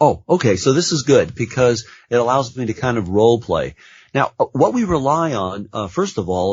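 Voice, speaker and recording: A man's somewhat breathy voice, lively in intonation, at a fairly quick pace. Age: 60s. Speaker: nurse practitioner. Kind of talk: interview.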